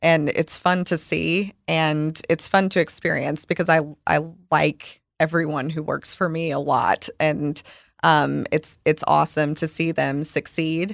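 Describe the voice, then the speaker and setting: On a very clean recording with a silent background and a dry, close sound with no echo, a woman with an American accent speaks at a fairly slow pace in a very deep, low pitch, her monotone, flat delivery touched with vocal fry. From US South, rural Arkansas. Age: 30s. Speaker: wine shop owner. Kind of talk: interview conversation. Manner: soft-spoken; calm.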